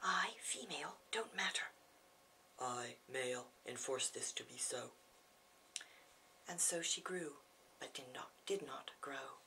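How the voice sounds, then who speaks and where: Whispering in an American accent, a woman speaks at a very slow pace with long, frequent pauses. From California, United States. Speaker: poet. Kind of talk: poetry reading. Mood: grave, measured. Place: home room. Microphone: camera far.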